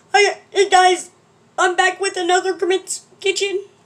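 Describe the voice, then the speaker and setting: Pitched extremely high, this put-on character voice moves at a fairly slow pace with monotone, flat intonation. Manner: cheerful vlogger-style greeting.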